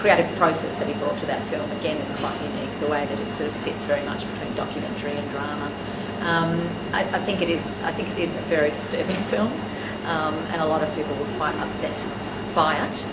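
A woman at a fairly quick pace with ordinary pitch variation, amid loud background noise. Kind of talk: interview answer. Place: office.

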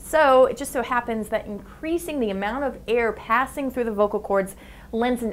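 A woman at a fairly high pitch and fairly quick pace, with ordinary pitch variation. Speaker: science show host. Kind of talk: science explainer narration. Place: studio. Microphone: lapel.

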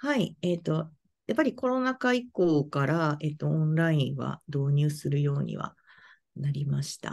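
A woman speaks with a very deep, low pitch. Her pitch swings are very wide. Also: moderate pace. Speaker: fortune teller; interviewee. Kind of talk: interview; interview answer. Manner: halting. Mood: friendly, smiling. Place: home room. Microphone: video call.

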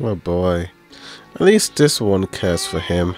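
Faint music plays behind a man talking at a fairly slow pace, the sound dry with no echo. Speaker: movie reaction creator. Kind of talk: casual reaction commentary. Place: home room. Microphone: studio mic.

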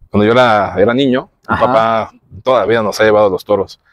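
A man at a moderate pace with fairly even intonation, against a quiet background in a dry sound with no echo. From Mexico. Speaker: podcast host. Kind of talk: interview. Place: garden.

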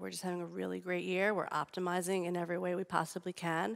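Over a quiet background, a woman speaks with an American accent. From United States. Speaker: public radio sponsorship executive. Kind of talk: panel discussion. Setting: stage with audience. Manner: animated. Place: stage.

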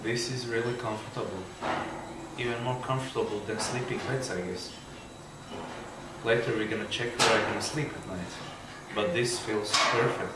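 Loud background noise and audible room echo surround a man speaking at a moderate pace. He leaves long, frequent pauses. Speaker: vlogger. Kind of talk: casual vlog chat. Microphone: phone near.

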